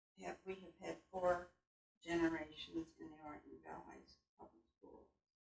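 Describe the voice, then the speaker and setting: A woman is speaking. Her pace is fairly slow. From US Midwest, Michigan small town. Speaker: local elder interviewee. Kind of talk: casual group reminiscence.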